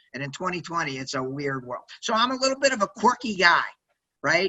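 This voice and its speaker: A loud, energetic man's voice with an American accent, high in pitch. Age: 60s. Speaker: sales executive and entrepreneur. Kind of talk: interview. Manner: energetic, loud; fast-paced, many fillers.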